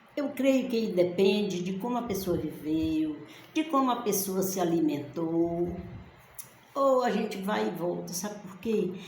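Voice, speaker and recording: Amid noticeable background noise and audible room echo, a woman speaks at medium pitch with lively intonation. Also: fairly slow pace. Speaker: bible teacher. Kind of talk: bible study talk. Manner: slow; halting, pausing for words.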